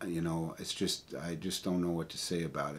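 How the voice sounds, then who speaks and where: A man talks with a very deep, low pitch. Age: 60s. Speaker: vlogger and amateur musician. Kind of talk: casual vlog monologue. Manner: halting.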